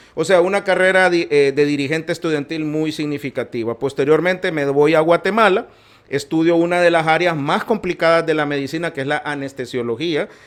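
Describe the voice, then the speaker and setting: With a plain, everyday voice, a man talks at a fairly quick pace with ordinary pitch variation. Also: fairly high pitch for a man. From Honduras, Tegucigalpa. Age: 60s. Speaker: physician and politician. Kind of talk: podcast interview.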